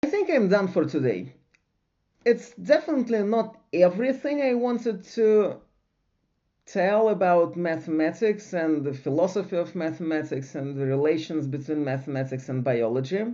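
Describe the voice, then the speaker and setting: A man speaks in a high voice with very wide pitch swings. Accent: non-native. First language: not English. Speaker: science lecturer / channel host. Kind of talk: lecture. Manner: slow; halting.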